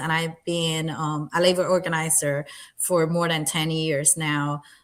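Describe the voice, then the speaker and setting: A woman with a Spanish accent speaks in a fairly low voice with monotone, flat intonation. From Puerto Rico. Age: 30s. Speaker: political candidate. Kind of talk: interview. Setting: livestream.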